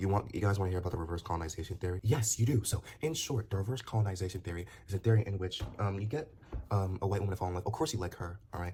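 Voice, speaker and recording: A man with a fairly low pitch and a dark, mellow tone speaks at a very fast pace, somewhat breathy, with ordinary pitch variation. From Nigeria. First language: Nigerian language. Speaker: commentator. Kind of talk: casual monologue vlog. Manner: halting, many repetitions and fillers.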